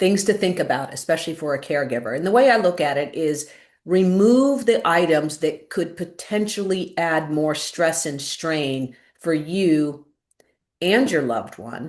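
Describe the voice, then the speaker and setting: A woman's fairly low pitch, lively intonation and moderate pace. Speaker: former caregiver and wildfire survivor, webinar speaker. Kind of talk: webinar presentation. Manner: emphatic.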